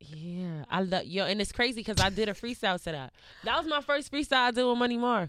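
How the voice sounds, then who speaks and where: A woman with a New York accent, fairly high-pitched and very fast, with very wide pitch swings, in a very clean recording with a silent background. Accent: New York, Harlem. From New York, Harlem. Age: 20s. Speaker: rapper. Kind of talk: casual interview chat.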